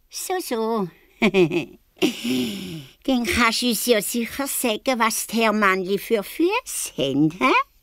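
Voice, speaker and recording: A woman puts on a character voice at a fairly high pitch. Her pitch swings very widely, and she leaves long, frequent pauses. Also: fairly slow pace. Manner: mocking, sneering, disbelieving.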